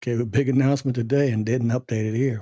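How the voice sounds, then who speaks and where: A soft-spoken, somewhat breathy man's voice of medium pitch, dark and mellow in tone, with ordinary pitch variation and a dry, close sound free of echo. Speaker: tech tutorial youtuber. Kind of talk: screen-recorded software tutorial. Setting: at home at night. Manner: casual, halting with fillers.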